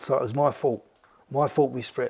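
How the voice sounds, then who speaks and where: His intonation is lively. A man speaks at a fairly high pitch. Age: 70s. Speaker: boxing trainer. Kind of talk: interview storytelling. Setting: at his home.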